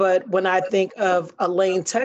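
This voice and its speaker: A woman with an unremarkable speaking voice and an American accent talks at a fairly slow pace in a fairly low pitch against a quiet background. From Chicago West Side. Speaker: high school principal. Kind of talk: interview.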